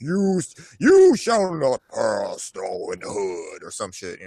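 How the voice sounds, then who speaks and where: A booming put-on character voice from a man, at a fairly slow pace. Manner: grand, mock-epic.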